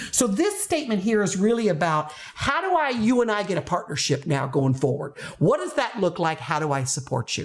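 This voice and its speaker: Her pitch swings very widely. This woman keeps up a fairly quick pace. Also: medium pitch for a woman. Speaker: teacher trainer, former teacher. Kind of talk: educational talk to camera. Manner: fast.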